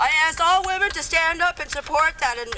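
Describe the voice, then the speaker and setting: Over noticeable background noise, a woman with an American accent speaks at a fairly quick pace in a raised, projected voice with ordinary pitch variation. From northern Wisconsin, Anishinaabe community. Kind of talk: speech at a rally. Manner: halting, repetitive.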